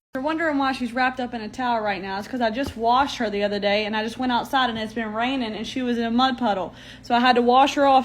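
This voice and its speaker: A loud, high-pitched woman at a very fast pace, with fairly even intonation. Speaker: pet owner. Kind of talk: casual chat.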